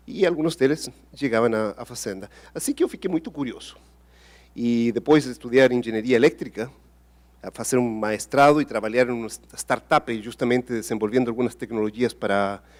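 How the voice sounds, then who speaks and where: At a fairly quick pace, a man with a Spanish accent speaks at medium pitch with ordinary pitch variation. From Chile, Patagonia farm. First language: Spanish (speaking Portuguese). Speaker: engineer and innovation executive. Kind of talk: panel interview. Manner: halting.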